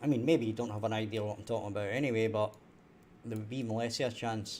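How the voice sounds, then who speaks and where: A man's medium-pitched voice at a very fast pace with fairly even intonation. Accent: Scottish. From Scotland. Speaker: indie game developer. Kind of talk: live-stream coding tutorial. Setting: live stream. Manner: clear, careful 'telephone voice'.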